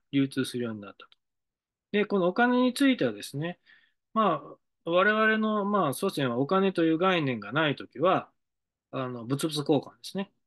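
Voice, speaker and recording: Against a quiet background, a man speaks at a high pitch with very wide pitch swings and big swings in loudness. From Japan, Hiroshima (Mihara); Hiroshima, Japan. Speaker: decision-making consultant. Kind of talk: monologue lecture; lecture-style monologue. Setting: studio. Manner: halting, many fillers. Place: office. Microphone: webcam.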